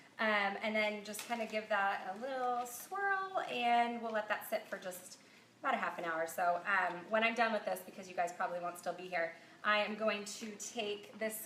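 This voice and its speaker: A fairly high-pitched woman talks while noticeable noise fills the background. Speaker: cookbook author and food blogger. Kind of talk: cooking tutorial livestream. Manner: casual, many filler ums.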